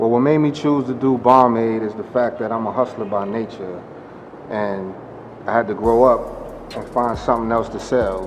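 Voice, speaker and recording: A man of medium pitch with fairly even intonation, amid audible room echo and noticeable background noise. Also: moderate pace. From New York City (Harlem). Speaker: vodka brand founder. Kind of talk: interview. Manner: casual, conversational.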